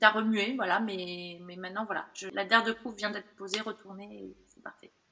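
Speaking at a fairly quick pace, a woman keeps a medium pitch and fairly even intonation while her loudness swings widely. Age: 40s. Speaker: burnout survivor. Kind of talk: testimony. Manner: halting, many fillers.

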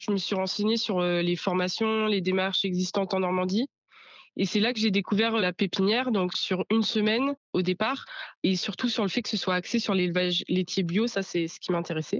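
A woman has an unremarkable speaking voice at a medium pitch. She talks at a moderate pace with fairly even intonation. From Normandy, France (Bocage virois). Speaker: young farmer. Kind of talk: interview testimony.

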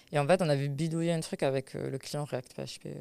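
A woman with a very deep, low voice and a dark, mellow tone is heard in a very clean recording with a silent background. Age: 20s. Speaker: web developer. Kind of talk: interview. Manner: halting, many repetitions and fillers.

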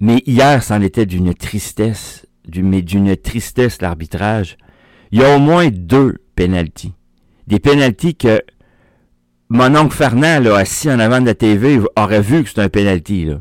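Speech comes at a fairly slow pace with long, frequent pauses. The sound is dry and close with no echo, in a very clean recording with a silent background. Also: man, fairly low pitch for a man. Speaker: soccer radio host. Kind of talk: daily sports radio show. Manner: casual, hesitant with fillers.

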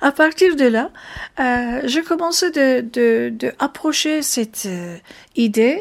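A woman with a Turkish accent speaks very slowly in a high voice. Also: lively intonation. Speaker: jazz singer. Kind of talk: interview. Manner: halting.

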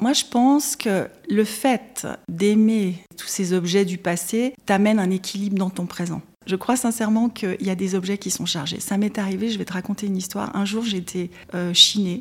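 A woman at medium pitch, somewhat breathy, with ordinary pitch variation and a moderate pace. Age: 50s. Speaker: secondhand shop owner. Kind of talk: interview testimony.

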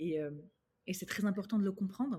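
A woman's medium-pitched voice has a dark, mellow tone, is somewhat breathy, and carries lively intonation on a very clean recording with a silent background. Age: 30s. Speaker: image consultant and confidence coach. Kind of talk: casual interview. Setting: at home.

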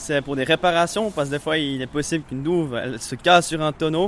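This man has an ordinary speaking voice. His pitch is fairly high, with ordinary variation. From Vaud, French-speaking Switzerland. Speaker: apprentice cooper. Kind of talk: interview. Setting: workshop.

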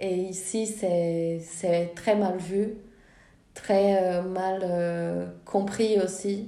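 A woman with a dark, mellow tone speaks very slowly at medium pitch in a flat monotone, with audible room echo. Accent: Portuguese. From Brazil. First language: Portuguese (speaking French). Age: 20s. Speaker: film director and student. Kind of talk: interview. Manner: hesitant, many fillers.

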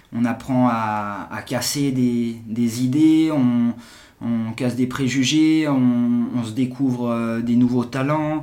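Speaking very slowly, a man uses a medium pitch, a dark, mellow tone and fairly even intonation. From Geneva, Switzerland. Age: 40s. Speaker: entrepreneur. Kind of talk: casual interview. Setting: in person, office. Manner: halting, many repetitions.

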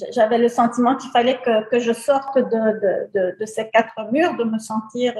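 A woman's ordinary speaking voice, fairly high in pitch, at a moderate pace with hardly any pauses and fairly even intonation. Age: 60s. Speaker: beautician, salon owner. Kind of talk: interview testimony.

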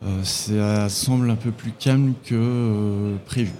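A man with a dark, mellow tone speaks with fairly even intonation. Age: 40s. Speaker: sales manager at a screw manufacturer. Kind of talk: trade show interview. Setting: trade fair stand. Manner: hesitant, many fillers.

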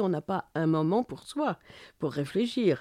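Over a quiet background, a woman with a dark, mellow tone speaks at a very slow pace with lively intonation. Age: 60s. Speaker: journalist and feminist activist. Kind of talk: interview conversation. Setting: home studio.

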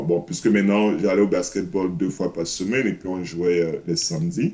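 A man with a very deep, low pitch and a dark, mellow tone talks at a fairly quick pace with fairly even intonation. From Cameroon. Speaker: mentor with a youth basketball association. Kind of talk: casual interview. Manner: hesitant, many fillers.

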